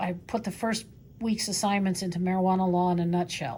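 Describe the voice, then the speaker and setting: Fairly even intonation marks a somewhat breathy woman who speaks at a fairly quick pace amid audible room echo. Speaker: professor. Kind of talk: lecture. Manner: fast.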